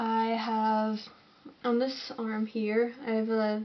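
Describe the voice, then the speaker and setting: This woman has a Northern Irish accent and a fairly high pitch. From Northern Ireland, Londonderry. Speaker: alternative model and artist. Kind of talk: Q&A vlog. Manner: casual, slightly halting.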